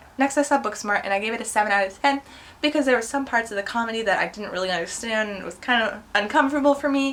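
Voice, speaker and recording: A woman talks very fast in a fairly high pitch, with noticeable background noise behind her. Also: ordinary pitch variation. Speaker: movie vlogger. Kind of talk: casual movie review monologue. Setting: home recording with computer.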